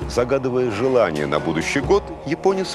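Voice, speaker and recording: Clear music plays behind the voice. A man delivers his words at a moderate pace. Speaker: TV presenter. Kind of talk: educational TV narration. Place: studio. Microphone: lapel.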